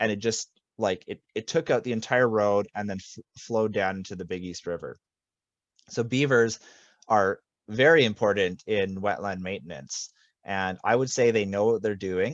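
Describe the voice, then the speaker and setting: A man speaks at a moderate pace in a fairly low pitch, with ordinary pitch variation. It is an unremarkable speaking voice. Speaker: land stewardship coordinator. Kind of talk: webinar presentation.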